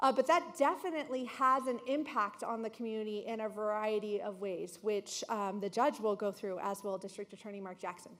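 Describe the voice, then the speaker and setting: At a fairly quick pace, a woman talks with hardly any pauses. Her voice is fairly high with ordinary pitch variation. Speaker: county manager. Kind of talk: panel presentation. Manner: fast.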